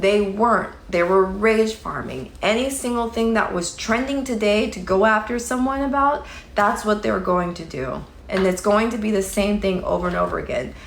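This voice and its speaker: The woman has a medium pitch and ordinary pitch variation. Audible room echo and noticeable background noise fill the recording. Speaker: livestreamer commenting on online drama. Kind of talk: casual livestream chat reading comments. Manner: slow.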